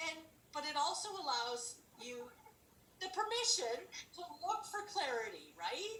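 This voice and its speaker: In a raised, projected voice with a bright, sharp tone, the speaker swings very widely in pitch and leaves long, frequent pauses, all with audible room echo. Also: woman, extremely high pitch for a woman. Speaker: ministry leader. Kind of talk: casual devotional chat. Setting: video call.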